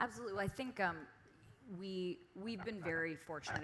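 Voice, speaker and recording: Speaking fairly quickly is a woman. Behind her, background noise is noticeable. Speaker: screenwriter. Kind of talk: panel discussion.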